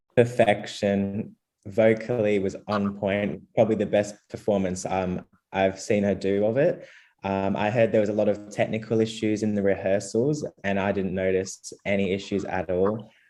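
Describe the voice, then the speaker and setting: A man with an Australian accent talks at a moderate pace and a fairly low pitch. His intonation is fairly even, his tone dark and mellow, and the background quiet. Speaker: Eurovision commentator. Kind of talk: casual panel discussion.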